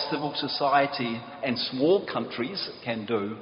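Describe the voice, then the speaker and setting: Very slowly, a man talks with a New Zealand accent. Noticeable background noise and audible room echo fill the recording. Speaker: peace activist, prize laureate. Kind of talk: conference talk.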